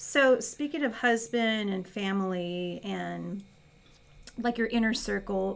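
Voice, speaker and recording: The speaker's very slow delivery is accompanied by music in the background. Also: woman. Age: 40s. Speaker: podcast host, university staff. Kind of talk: interview.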